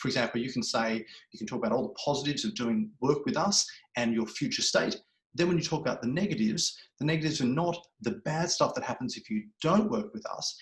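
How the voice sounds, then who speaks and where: This man talks very fast, his fairly high voice swinging very widely in pitch. There is a somewhat breathy quality to it. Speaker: public speaking coach. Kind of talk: webinar presentation. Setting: online webinar.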